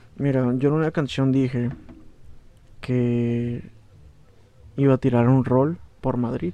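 With long, frequent pauses, a man talks at a very slow pace and medium pitch, his tone dark and mellow and his intonation fairly even. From Baja California, Mexico (Valle de Guadalupe). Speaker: rapper. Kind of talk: casual chat.

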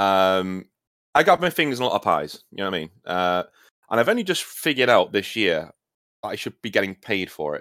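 In a British accent, a man with a fairly low pitch and a bright, sharp tone talks at a fairly quick pace with lively intonation, the sound dry and close with no echo on a very clean recording against a silent background. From Britain. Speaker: gaming YouTuber and writer. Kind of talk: casual chat.

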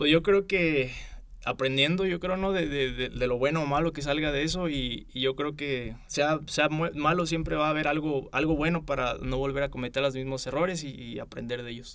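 Fairly even intonation at a moderate pace. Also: man. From Michoacán, Mexico. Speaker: university student. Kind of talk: interview. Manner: halting.

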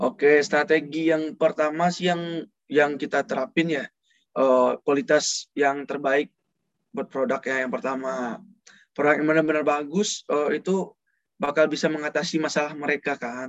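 Here is a man with a plain, everyday voice, pitched fairly high. He moves at a moderate pace with ordinary pitch variation. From Padang, West Sumatra. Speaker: student cosmetics business owner. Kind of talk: casual interview chat.

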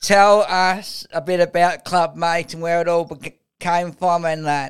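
Fairly slowly, a man talks at a fairly high pitch with a clear, smooth tone and little pitch movement.

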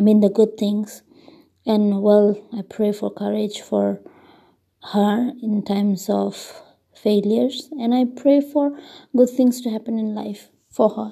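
Speaking at a fairly slow pace with long, frequent pauses, a woman with a Tripura accent has a fairly high pitch, ordinary pitch variation, a dark, mellow tone and a somewhat breathy quality. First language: Kokborok. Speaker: podcaster. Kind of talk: casual monologue.

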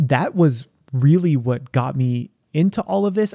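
A man's fairly high-pitched voice, dark and mellow in tone, with lively intonation and a dry, close sound with no echo. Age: 30s. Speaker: YouTube cooking creator and chef. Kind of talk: casual interview chat. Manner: animated.

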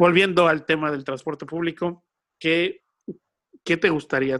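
With a Mexican accent, a man speaks at a moderate pace with ordinary pitch variation, the sound dry and close with no echo. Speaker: podcast host. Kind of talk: casual chat. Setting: recording from home.

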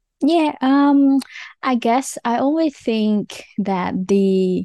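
With a Vietnamese accent and lively intonation, a dark, mellow voice moves at a very slow pace in a dry, close recording with no echo and a quiet background. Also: woman. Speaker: landscape architect and streamer. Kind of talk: casual interview.

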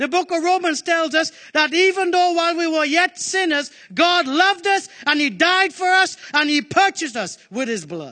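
A man's extremely high, raised and projected voice, bright and sharp, animated and passionate, at a moderate pace with ordinary pitch variation against a quiet background. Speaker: preacher. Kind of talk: sermon. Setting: church with congregation. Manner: animated, call-and-response, urging the congregation to answer; forceful, passionate.

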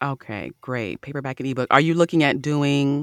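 On a very clean recording with a silent background, the delivery keeps a moderate pace. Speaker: podcast host. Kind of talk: interview chat.

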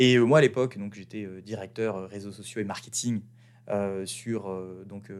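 The speaker talks at a very slow pace with fairly even intonation, on a very clean recording with a silent background. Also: man. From France. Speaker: podcast host, branding entrepreneur. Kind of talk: casual monologue. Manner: hesitant, many fillers.

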